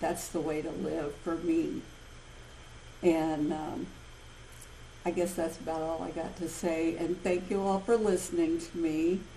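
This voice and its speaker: Over noticeable background noise and audible room echo, a woman speaks fairly slowly with fairly even intonation and long, frequent pauses. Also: fairly low pitch for a woman. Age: 60s. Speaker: support group member sharing. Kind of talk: testimony.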